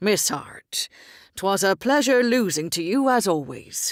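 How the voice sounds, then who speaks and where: A woman puts on a loud, booming, growling character voice at a medium pitch, swinging very widely up and down at a fairly slow pace. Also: very clean recording, silent background. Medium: read story. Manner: loud, booming, jovial.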